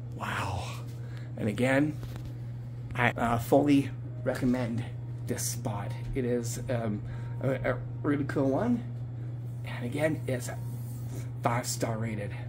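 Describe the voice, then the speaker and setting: A man speaks at a very slow pace with long, frequent pauses and monotone, flat intonation. Noticeable background noise sits behind him. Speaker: venue reviewer. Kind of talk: casual vlog chat. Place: bar. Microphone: phone near.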